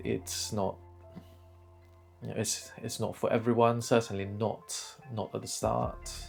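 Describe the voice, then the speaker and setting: Music plays in the background as a man talks at a fairly slow pace. He leaves long, frequent pauses. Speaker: YouTuber. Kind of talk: casual talk to camera. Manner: hesitant, many fillers.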